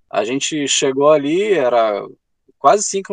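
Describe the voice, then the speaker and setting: A man's voice with very wide pitch swings, in a dry, close sound without echo. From Rio Grande do Sul, Brazil. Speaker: travel author. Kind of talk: interview.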